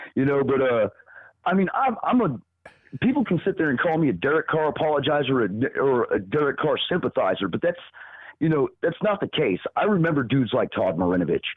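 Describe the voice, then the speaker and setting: A man with a Southern US accent speaks at a fairly high pitch, his pitch swinging very widely while his loudness stays very even. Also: fairly quick pace. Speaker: podcast co-host. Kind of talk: casual sports talk. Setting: live stream. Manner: animated.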